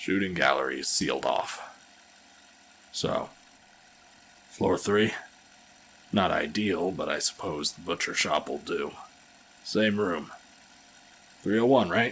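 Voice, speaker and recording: Using a put-on character voice, a raspy man with a fairly low pitch speaks at a fairly slow pace with ordinary pitch variation and long, frequent pauses. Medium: audio drama.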